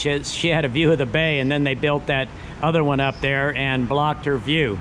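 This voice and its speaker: A man with fairly even intonation over light background noise. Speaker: vlogger filming the city. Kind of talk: casual vlog chat. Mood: relaxed, nostalgic. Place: station. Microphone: phone near.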